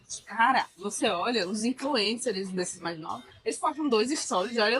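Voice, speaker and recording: Music is playing in the background. Over it, a woman talks at a fairly high pitch. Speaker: podcast co-host. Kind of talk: casual chat. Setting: restaurant during brunch.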